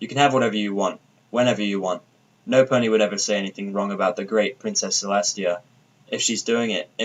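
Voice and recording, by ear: A passage is read aloud. The delivery uses a natural voice.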